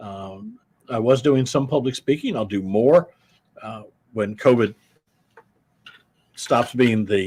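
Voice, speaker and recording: Speaking with an American accent, the voice moves at a very slow pace with ordinary pitch variation. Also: man. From Iowa, US Midwest. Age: 70s. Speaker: war veteran and business executive. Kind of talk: interview. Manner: halting.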